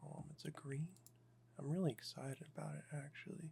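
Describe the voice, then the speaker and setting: The voice is somewhat breathy with a relaxed tone. Its intonation stays fairly even. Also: man. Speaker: Magic: The Gathering deck builder and ASMR content creator. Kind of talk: casual talk to camera, deck building walkthrough. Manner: monotone, slow, relaxed.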